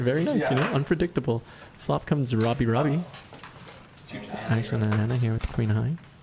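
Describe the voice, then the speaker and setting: With noticeable background noise behind him, a man talks at a very fast pace using lively intonation. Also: long, frequent pauses, very even loudness. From Canada. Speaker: poker stream host and commentator. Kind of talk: live commentary. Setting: live stream, next room to the players.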